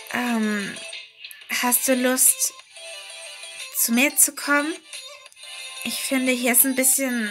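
A woman's high voice at a very slow pace, with fairly even intonation, long, frequent pauses and music in the background. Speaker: storyteller. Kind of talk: horror story narration. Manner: long pauses.

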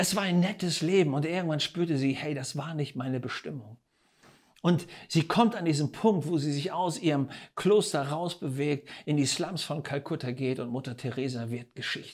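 A man's fairly high voice at a moderate pace, ordinary pitch variation, quiet background. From Germany. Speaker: preacher. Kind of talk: sermon. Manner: animated; emphatic, rhetorical questions. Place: studio. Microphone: lapel.

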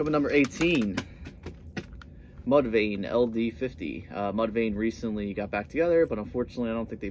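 Over light background noise, the speech moves at a fairly quick pace with lively intonation. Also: man. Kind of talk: casual vlog chat. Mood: enthusiastic. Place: home room. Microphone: phone near.

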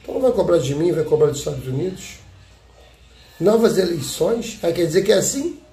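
Amid faint background music and audible room echo, a man with a high pitch speaks in an animated tone with lively intonation at a fairly quick pace, broken by long, frequent pauses. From Brazil. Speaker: YouTube commentator. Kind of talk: political commentary monologue. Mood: indignant, critical. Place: home room. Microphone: phone near.

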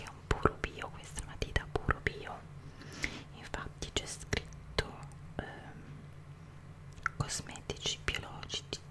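The pace is fairly slow. A woman whispers her words. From Italy. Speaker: ASMR creator. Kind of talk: ASMR show and tell. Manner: whispered, soft-spoken. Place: home room. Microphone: studio mic.

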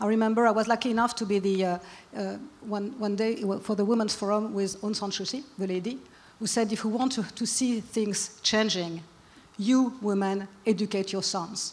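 The speaker has a French accent and a moderate pace. Intonation stays fairly even. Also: woman, fairly high pitch for a woman. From France. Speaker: businesswoman and forum co-founder. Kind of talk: panel discussion. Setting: stage with audience. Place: stage. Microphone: handheld.

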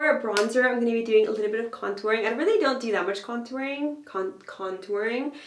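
A woman's fairly high-pitched voice, fairly quick, with lively intonation and audible room echo. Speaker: fashion and vintage blogger. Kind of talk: casual talk to camera. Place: bathroom.

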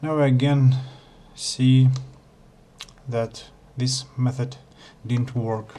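A man speaks very slowly in a flat monotone. His tone is dark and mellow, and somewhat breathy. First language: not English. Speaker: Blender tutorial maker. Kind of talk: software tutorial narration.

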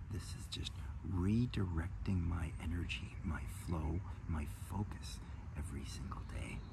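A man speaks at a fairly slow pace with long, frequent pauses. Noticeable background noise sits behind him. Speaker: health coach. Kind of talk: guided meditation and talk on energy work. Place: garden. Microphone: phone near.

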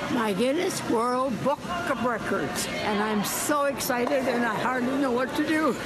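Loud background noise sits under a woman speaking at a fairly slow pace. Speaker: curler. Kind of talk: interview answer. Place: stadium. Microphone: phone near.

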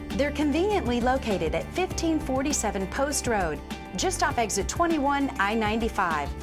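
A woman at a fairly quick pace, with clear music in the background. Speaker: actress. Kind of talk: infomercial host read. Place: shop.

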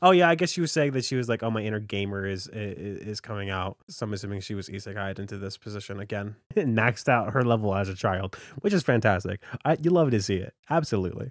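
Over a quiet background, a man with a fairly low voice talks at a very fast pace with lively intonation, the sound dry and without echo. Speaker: reaction streamer. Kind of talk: casual reaction commentary. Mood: amused, upbeat. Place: home room. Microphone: studio mic.

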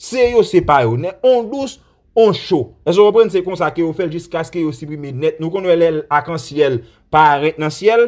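A man with a high pitch speaks at a fairly slow pace. His intonation is lively and his loudness swings widely. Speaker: Haitian news commentator. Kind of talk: news commentary. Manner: animated.

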